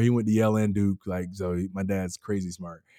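A man is speaking. He has an American accent. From US South. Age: 30s. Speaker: pastor. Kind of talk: casual chat.

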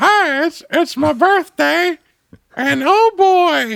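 In a put-on character voice, the speaker talks very slowly at an extremely high pitch. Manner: off-model, not by the book.

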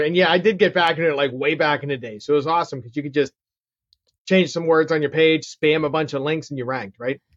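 A man with a Pittsburgh accent, fairly high pitch, ordinary pitch variation and a very fast pace. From Pittsburgh, Pennsylvania. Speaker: real estate investor and marketer. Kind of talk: interview, casual chat.

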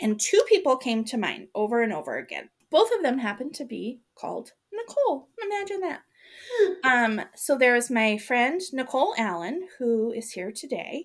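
A woman's high voice with very wide pitch swings and big swings in loudness, in a very clean recording with a silent background. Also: moderate pace. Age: 40s. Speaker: podcast host. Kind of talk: casual chat.

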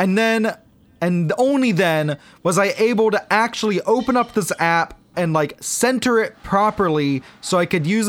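This man's voice sits high, with ordinary pitch variation and a moderate pace. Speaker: podcast host. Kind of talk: casual chat.

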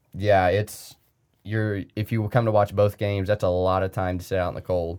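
An ordinary speaking voice from a man, fairly low in pitch, with fairly even intonation. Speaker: college baseball player. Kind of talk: casual interview.

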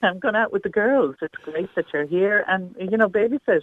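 A woman speaks in an Irish accent at a moderate pace. Her intonation is lively. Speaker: caller. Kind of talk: radio phone-in discussion. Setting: phone call.

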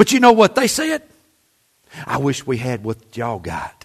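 The voice has an animated tone. It speaks with a Southern US accent. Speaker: pastor. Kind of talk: sermon. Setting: church. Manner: animated, folksy, exhorting the congregation with humor.

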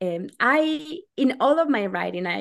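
Against a quiet background, a woman speaks with a Spanish accent. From Argentina. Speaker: novelist. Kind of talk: interview.

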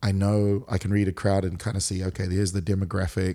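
A man's very deep, low-pitched voice with a dark, mellow tone and monotone, flat intonation, on a very clean recording with a silent background. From New Zealand, Auckland. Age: 40s. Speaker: pastor and worship leader. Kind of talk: casual interview. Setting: in person, Hawaii.

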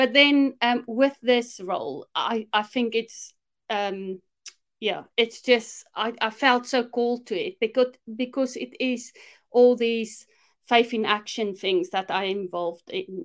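With a South African accent, a woman speaks very slowly at a fairly high pitch, her pitch varying in an ordinary way. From South Africa, Afrikaner. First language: Afrikaans. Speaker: minister and discipleship mentor. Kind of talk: casual interview chat.

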